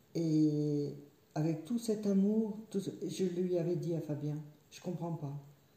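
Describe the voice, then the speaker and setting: A woman speaks with a fairly low pitch and ordinary pitch variation. Some room echo can be heard. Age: 60s. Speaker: yoga student, stroke survivor. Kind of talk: personal testimony. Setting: her living room. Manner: halting, repetitive.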